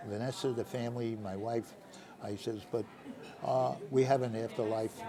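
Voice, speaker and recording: With crowd noise in the background, a man talks at a moderate pace in a medium pitch with fairly even intonation. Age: 80s+. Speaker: retired real estate broker, father of host. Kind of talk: casual interview. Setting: restaurant.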